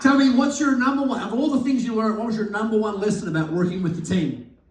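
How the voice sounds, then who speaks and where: Against noticeable background noise, a man talks at a very fast pace in a high pitch with lively intonation. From Australia. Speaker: business coach, event host. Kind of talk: live event interview.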